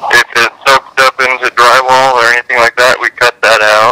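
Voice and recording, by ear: In a dry, close sound with no echo, a man speaks at medium pitch and a moderate pace, his bright, sharp tone clear and smooth, with little pitch movement.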